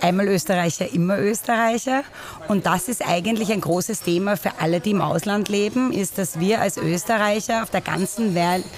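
Noticeable background noise is present. The speech has ordinary pitch variation and a moderate pace. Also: woman. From Vienna, Austria (Währing). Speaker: expat association member. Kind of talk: interview. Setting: coffee house.

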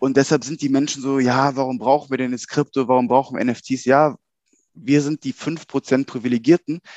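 A man at a medium pitch uses a plain, everyday voice with fairly even intonation at a moderate pace, heard dry and close with no echo over a quiet background. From Germany, Cologne-Bonn area. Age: 30s. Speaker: banker and crypto enthusiast. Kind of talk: casual interview chat.

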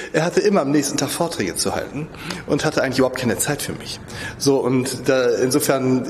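Fairly quick speech from a man, ordinary pitch variation, and noticeable background noise. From Lübeck. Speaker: portrait sculptor. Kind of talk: interview.

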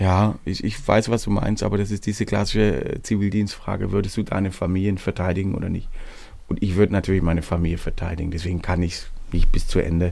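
A man speaks very fast at a very deep, low pitch with fairly even intonation. Noticeable background noise runs underneath. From Swabia, Hohenlohe district. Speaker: singer-songwriter. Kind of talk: casual interview.

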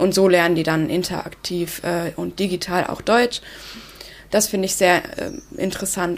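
At a moderate pace, this woman talks in a fairly low voice with fairly even intonation. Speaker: youth mentoring volunteer. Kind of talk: interview.

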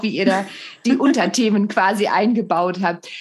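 A woman speaks in a normal speaking voice. Her pace is moderate, with ordinary pitch variation. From Germany. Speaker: podcast host and comedian. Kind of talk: casual interview.

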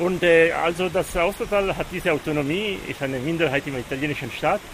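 A high-pitched man at a moderate pace, ordinary pitch variation, noticeable background noise. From Aosta Valley, Italy (Walser community). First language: Walser German dialect and Italian (speaking German). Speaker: mountain guide. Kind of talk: interview. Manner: halting, many fillers.

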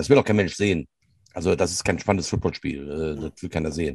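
Heard dry and close with no echo, a man speaks with ordinary pitch variation. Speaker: podcast co-host, youth American football coach. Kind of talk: casual chat. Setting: barn office.

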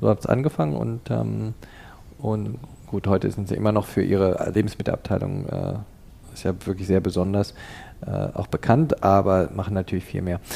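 Dark and mellow in tone, a man's voice proceeds at a moderate pace. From Canada. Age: 50s. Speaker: tea shop founder. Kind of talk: interview. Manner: hesitant, many fillers.

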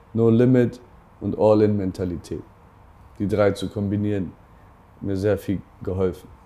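A man's fairly low voice, dark and mellow in tone, with fairly even intonation and long, frequent pauses. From northern Germany, Bremen. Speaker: entrepreneur and investor. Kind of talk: interview. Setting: office.

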